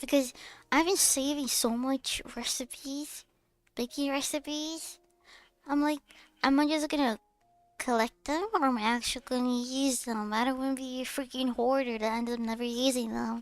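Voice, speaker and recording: A woman speaks at a moderate pace in a high voice with fairly even intonation, and music plays in the background. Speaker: vtuber streamer. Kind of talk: casual chat.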